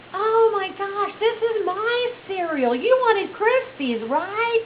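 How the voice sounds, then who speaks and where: In a put-on character voice, a woman squeaks at an extremely high pitch with lively intonation and a fairly slow pace, clear background noise behind her. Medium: solo performance. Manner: stubborn, loud.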